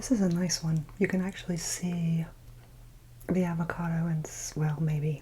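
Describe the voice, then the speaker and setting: A soft-spoken woman with a dark, mellow, somewhat breathy voice sounds nervous, speaking at a fairly low pitch with fairly even intonation. She keeps a moderate pace but leaves long, frequent pauses. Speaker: ASMR content creator. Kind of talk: soft-spoken ASMR chit chat while eating. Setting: close-mic eating sounds. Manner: soft-spoken, quiet, a bit nervous.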